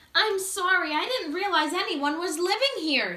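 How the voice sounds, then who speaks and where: In a put-on character voice with a bubbly tone, the speaker goes at a moderate pace. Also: woman, extremely high pitch for a woman. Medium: read story. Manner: bubbly, talkative.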